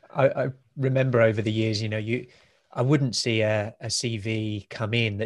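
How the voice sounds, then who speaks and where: Against a quiet background, a man with a plain, everyday voice speaks at a moderate pace with medium pitch and fairly even intonation. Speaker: podcast host. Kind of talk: interview conversation.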